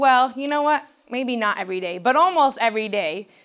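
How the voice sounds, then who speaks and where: On a very clean recording with a silent background, a woman speaks with a Midwestern American accent. Her pitch is fairly high and her tone bright and sharp. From Michigan, US. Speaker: teacher and outdoor educator. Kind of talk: seminar talk at camp meeting. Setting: meeting hall with audience.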